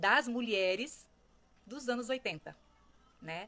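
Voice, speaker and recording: A woman speaks fairly slowly in a bright, sharp tone. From rural Brazil. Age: 60s. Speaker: social commentator. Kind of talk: reflective monologue. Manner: conversational.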